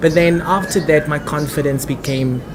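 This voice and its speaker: Crowd noise and audible room echo surround a man speaking at a fairly high pitch. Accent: South African. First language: Afrikaans. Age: 20s. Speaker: actor and theatre director. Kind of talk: interview.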